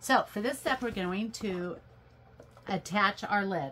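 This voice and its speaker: Putting on a raspy character voice, a woman speaks at a fairly slow pace with medium pitch and lively intonation. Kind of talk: tutorial.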